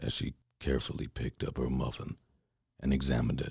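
Speaking at a moderate pace, a man uses a very deep, low pitch with vocal fry and a calm, soothing tone. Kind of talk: bedtime story reading.

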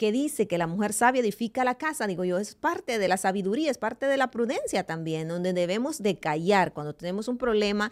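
Over a quiet background, a woman with a fairly high voice talks at a fairly quick pace in an animated tone with lively intonation. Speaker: radio host. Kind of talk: devotional talk. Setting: studio. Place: studio. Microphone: studio mic.

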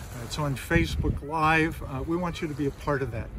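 There is noticeable background noise around a man whose voice has a dry sound with no echo. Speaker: pastor. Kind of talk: sermon. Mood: warm, encouraging. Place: beach.

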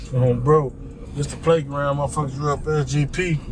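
Through noticeable background noise, a man is heard speaking. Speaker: local guide driving. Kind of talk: casual vlog chat. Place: car.

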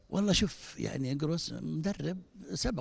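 In a dry recording with no echo, a man speaks at a fairly slow pace in a fairly high, somewhat breathy voice with a dark, mellow tone. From Saudi Arabia. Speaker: football club director. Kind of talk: post-match interview. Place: hall. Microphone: handheld.

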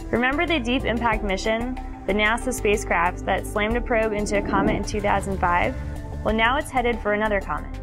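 A woman talks at a very fast pace in a fairly high voice, her loudness very even and her pitch varying in an ordinary way, with clear music in the background. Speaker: scientist. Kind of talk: science documentary narration. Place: studio.

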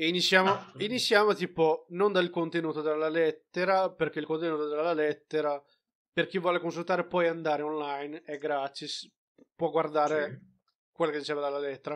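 An ordinary speaking voice with fairly even intonation but big swings in loudness. The recording is very clean, the background silent. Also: man, fairly high pitch for a man. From outside Italy, a developing country. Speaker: film review podcast co-host. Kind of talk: casual chat.

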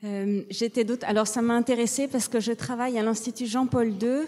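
A woman's fairly high voice with a dark, mellow tone, fairly even intonation and a moderate pace. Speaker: nun and researcher; audience member. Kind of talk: audience question. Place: hall. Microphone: handheld.

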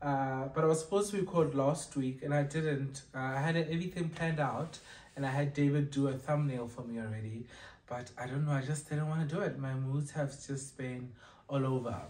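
A man talks at a fairly quick pace with fairly even intonation. His voice is somewhat breathy. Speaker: vlogger. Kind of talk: casual vlog chat. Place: home room. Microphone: camera far.

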